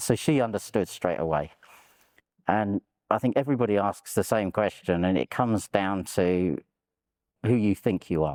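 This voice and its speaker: In a London accent, a man with a fairly low pitch speaks with long, frequent pauses and very even loudness, the sound dry and close with no echo on a very clean recording with a silent background. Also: ordinary pitch variation, moderate pace. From London, England. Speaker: war veteran. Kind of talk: interview testimony.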